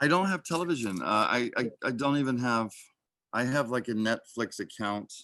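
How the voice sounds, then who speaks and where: A man with an American accent, medium in pitch and moderate in pace, with a bright, sharp tone and very wide pitch swings against a quiet background. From Oklahoma, US. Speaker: actor. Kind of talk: casual interview chat.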